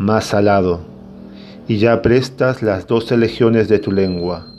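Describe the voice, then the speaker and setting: Music plays in the background as a man speaks very slowly at a fairly low pitch with fairly even intonation. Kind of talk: poetry reading.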